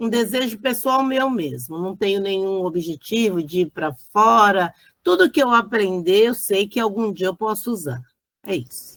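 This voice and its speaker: The pace is fairly slow. The intonation is lively. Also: woman, medium pitch for a woman. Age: 50s. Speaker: student. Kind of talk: casual chat. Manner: hesitant.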